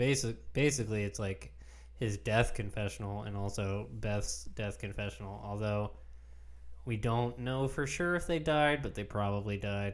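Lively intonation runs through this man's unremarkable speaking voice as he keeps a moderate pace. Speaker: podcast host. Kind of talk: casual chat.

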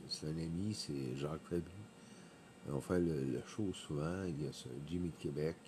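A man's very deep, low voice with a dark, mellow tone, at a very slow pace. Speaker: podcaster, former event worker. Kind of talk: casual monologue. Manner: halting, many hesitations.

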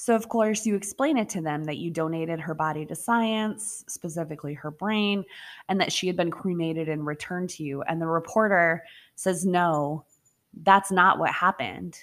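A plain, everyday voice with ordinary pitch variation comes through on a very clean recording with a silent background. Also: woman, fairly low pitch for a woman. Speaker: podcast host and storyteller. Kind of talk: campfire-style true-crime storytelling, ghost story narration. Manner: hushed, slow and suspenseful, directly addressing listeners.

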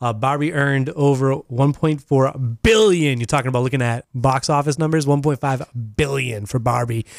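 A man with a normal speaking voice at medium pitch talks at a moderate pace with ordinary pitch variation, very even loudness, hardly any pauses, and a dry, close sound with no echo. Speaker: radio host. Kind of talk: casual radio banter. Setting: studio.

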